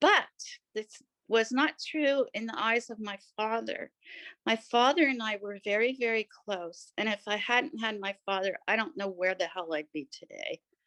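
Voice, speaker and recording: Against a quiet background, a woman with a bright, sharp tone and fairly high pitch speaks at a moderate pace with lively intonation, the sound dry and close with no echo. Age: 60s. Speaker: artist and writer. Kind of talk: reading aloud a personal essay; personal testimony.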